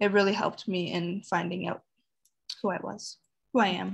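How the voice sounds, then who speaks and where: A woman with a Canadian accent speaks at a moderate pace. Her intonation is monotone and flat, against a quiet background. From Sudbury, Ontario, Canada. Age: 20s. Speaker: university student. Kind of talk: interview. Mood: calm, reflective. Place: home room. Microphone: webcam.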